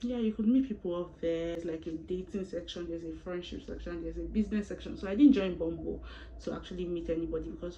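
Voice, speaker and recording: A woman talks at a very fast pace. Audible room echo and noticeable background noise accompany her. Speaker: YouTuber. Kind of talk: storytime vlog. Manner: animated.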